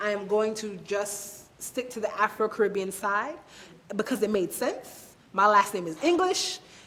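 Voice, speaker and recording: A woman with an American accent talks at a fairly slow pace in a medium pitch with ordinary pitch variation, over noticeable background noise. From Brooklyn, New York. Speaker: interviewee. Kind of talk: interview.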